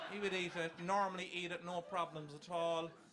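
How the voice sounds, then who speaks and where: In an Irish accent, a man speaks at a moderate pace with monotone, flat intonation. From Ireland. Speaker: comedian. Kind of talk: stand-up.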